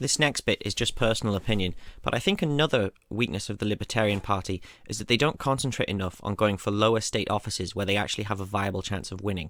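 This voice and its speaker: On a very clean recording with a silent background, a man with a British accent talks at a very fast pace. His pitch is fairly low, with ordinary variation. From United Kingdom. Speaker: political explainer video creator. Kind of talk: informal lecture.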